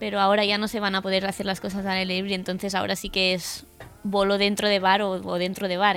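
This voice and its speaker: At a very fast pace, a woman speaks with a medium pitch. Her intonation stays fairly even. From Catalonia. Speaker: stand-up comedian. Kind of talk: casual chat.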